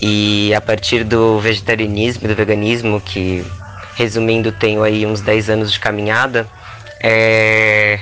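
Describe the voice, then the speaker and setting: The speech moves at a fairly slow pace, with music in the background. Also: man. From Rio Grande do Sul, Brazil. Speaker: performance artist and cook. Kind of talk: casual chat.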